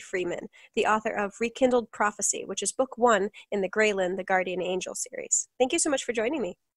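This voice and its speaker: An ordinary speaking voice from a woman, fairly high in pitch with ordinary pitch variation, at a fairly quick pace in a dry, close sound with no echo. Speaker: podcast host. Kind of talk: casual chat.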